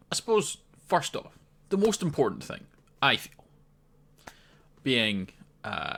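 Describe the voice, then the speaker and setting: With a Scottish accent and vocal fry, a man speaks fairly slowly in a bright, sharp tone, his pitch swinging very widely. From Scotland. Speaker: gaming commentator. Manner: casual, conversational.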